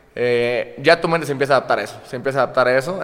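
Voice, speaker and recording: A man talks at a very fast pace in a fairly high pitch. His pitch varies in an ordinary way, and there is noticeable background noise. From Córdoba, Veracruz, Mexico. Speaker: comedian and content creator. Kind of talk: casual chat.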